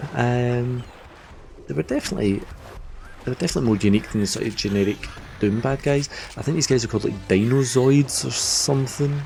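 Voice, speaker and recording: Against noticeable background noise, a man speaks at a fairly quick pace with a medium pitch and ordinary pitch variation. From Scotland. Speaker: game streamer. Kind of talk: live gameplay stream commentary. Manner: animated.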